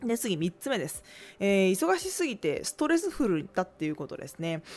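This is a woman's voice. She talks fairly quickly. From Tokai region, Japan. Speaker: podcast host, business owner. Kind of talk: solo talk radio monologue.

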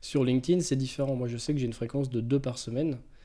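A man's medium-pitched, dark and mellow voice at a very fast pace, with fairly even intonation. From France, Touraine. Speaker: social media agency owner. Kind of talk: casual interview. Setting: his agency's office.

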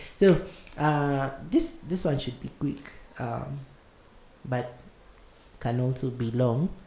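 A man's somewhat breathy, dark, mellow voice at medium pitch, very slow pace, ordinary pitch variation, and long, frequent pauses. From Kenya. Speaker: podcast host. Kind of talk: casual chat.

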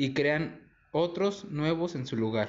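A man speaks in an ordinary speaking voice. His pitch varies in an ordinary way. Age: 20s. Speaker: university student. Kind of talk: school presentation reading.

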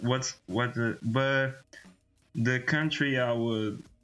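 A man talks at a very slow pace in a Portuguese accent. His intonation is fairly even. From Portugal. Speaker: podcast co-host. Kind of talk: casual chat. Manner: halting.

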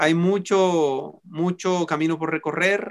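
A man speaks in a high voice with a bright, sharp tone. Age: 40s. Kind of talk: sermon; casual chat. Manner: calm.

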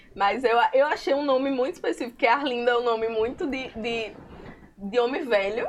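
Over noticeable background noise, a woman speaks at a high pitch and moderate pace with ordinary pitch variation. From Currais Novos, Seridó, Rio Grande do Norte, Brazil. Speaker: illustrator and comic artist. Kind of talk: casual chat.

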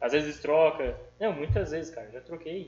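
This is a man speaking. His pitch is fairly high. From Brazil, São Paulo state interior (Tupã). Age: 20s. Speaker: street food vendor. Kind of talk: casual chat.

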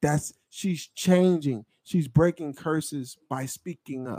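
The speaker, with an American accent, talks at a fairly slow pace with ordinary pitch variation. It is a normal speaking voice. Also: man. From Pennsylvania, Delaware County. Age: 30s. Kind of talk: casual chat.

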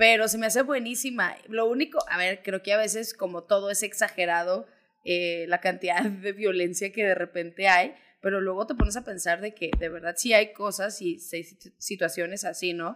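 A woman's unremarkable speaking voice at medium pitch, with ordinary pitch variation and a moderate pace. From Mexico, Zacatecas. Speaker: podcast co-host, producer. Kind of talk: casual chat.

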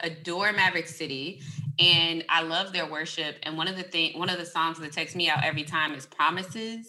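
A woman's normal speaking voice, fairly low in pitch, with ordinary pitch variation and a fairly quick pace. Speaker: podcast host. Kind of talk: casual interview chat.

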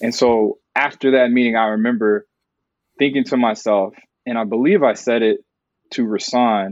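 This man has an ordinary speaking voice, pitched at a medium level with fairly even intonation. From Texas, Dallas suburb. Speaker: TV news producer. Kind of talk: interview.

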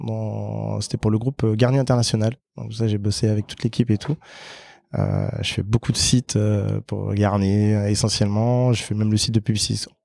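This man has a fairly low pitch, a dark, mellow tone and fairly even intonation, speaking at a moderate pace. The sound is dry and close with no echo, on a very clean recording with a silent background. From French Guiana. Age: 30s. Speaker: lead developer. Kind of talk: casual interview. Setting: office.

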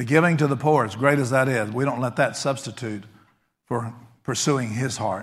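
An American accent from a man, medium in pitch with ordinary pitch variation. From Texas. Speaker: pastor. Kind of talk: sermon. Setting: church.

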